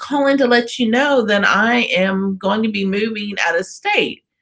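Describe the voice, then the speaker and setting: An unremarkable speaking voice with an American accent talks at a moderate pace with lively intonation. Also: woman. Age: 50s. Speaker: radio host. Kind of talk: interview.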